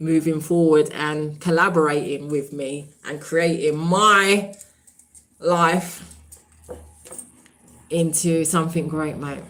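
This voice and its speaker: In a British accent, a woman talks very slowly at a fairly low pitch, with audible room echo. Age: 40s. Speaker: YouTuber and diarist. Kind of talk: casual live stream chat. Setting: live stream. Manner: animated.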